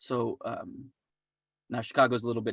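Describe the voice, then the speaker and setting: A man mumbles. The sound is dry and close, with no echo. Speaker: finance business development specialist. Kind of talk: webinar presentation with Q&A. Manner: fast; mumbling.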